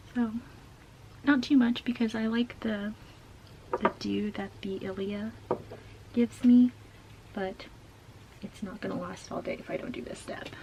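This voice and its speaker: A whispering woman with long, frequent pauses and noticeable background noise. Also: moderate pace. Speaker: beauty YouTuber. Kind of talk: casual makeup tutorial talk to camera. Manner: whispered.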